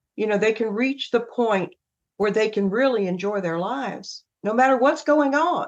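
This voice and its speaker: A woman speaks at a moderate pace with a fairly high pitch and a slight Southern US accent. Her intonation is lively. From US South. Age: 70s. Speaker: emotional wellness coach. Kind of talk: podcast interview. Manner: laughs often.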